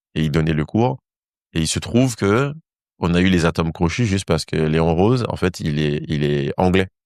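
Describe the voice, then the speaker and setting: With a very deep, low pitch, a man speaks at a moderate pace with lively intonation, in a dry, close sound with no echo. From Saint-Martin (Caribbean). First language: English (speaking French). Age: 30s. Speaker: dancer and former physicist. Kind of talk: interview conversation. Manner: animated storytelling.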